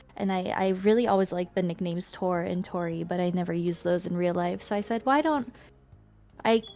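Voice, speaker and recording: A calm woman with a Canadian accent at a medium pitch and moderate pace, ordinary pitch variation, music in the background. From Canada, Ontario. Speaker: streamer. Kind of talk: casual chat. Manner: mellow, calm.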